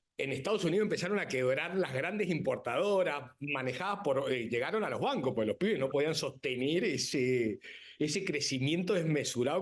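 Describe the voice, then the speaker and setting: Against a quiet background, a man with a Rioplatense accent speaks in an animated tone at a moderate pace. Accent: Argentine Rioplatense Spanish. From Argentina. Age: 50s. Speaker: winemaker and businessman. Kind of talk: TV interview.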